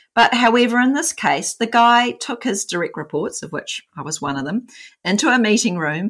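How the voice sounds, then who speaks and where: A woman talks with vocal fry and very wide pitch swings at a moderate pace. The recording is very clean, with a silent background. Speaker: podcast co-host. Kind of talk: casual conversational podcast discussion.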